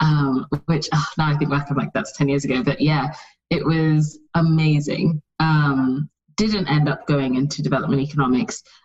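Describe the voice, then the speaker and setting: Woman with a very deep, low pitch and a British accent. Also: ordinary pitch variation, moderate pace. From UK, with childhood in Saudi Arabia, Nigeria and US. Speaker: fashion brand founder. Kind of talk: interview. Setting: remote call.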